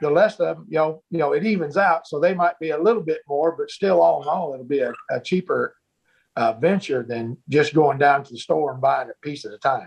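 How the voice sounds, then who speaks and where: A man with an American accent has a normal speaking voice, fairly high in pitch with ordinary pitch variation. He talks at a fairly quick pace, and his loudness swings a lot. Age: 60s. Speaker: butcher. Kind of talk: casual interview.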